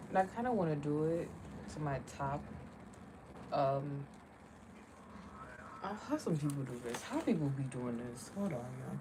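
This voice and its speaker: A woman talks at a moderate pace with lively intonation and a very deep, low pitch. Her speech has long, frequent pauses, and audible room echo surrounds it. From Jamaica. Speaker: beauty vlogger. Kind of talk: makeup tutorial livestream chat. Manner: casual, distracted.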